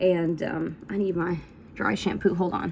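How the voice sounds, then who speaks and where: With an Appalachian accent, a woman speaks at a fairly slow pace over noticeable background noise. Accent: Southern US (Appalachian). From US South, north Georgia / Tennessee / North Carolina tri-state area. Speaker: country musician and vlogger. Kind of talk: casual vlog monologue. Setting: at home doing hair and makeup on camera. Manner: casual, filler-heavy.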